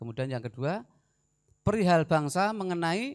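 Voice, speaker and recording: A man with a Javanese accent talks with very wide pitch swings against a quiet background. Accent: Javanese-accented Indonesian. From Central Java, Semarang (Gunung Pati); Central Java, Indonesia. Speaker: army officer; guest. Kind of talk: lecture. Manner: animated. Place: hall. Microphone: handheld.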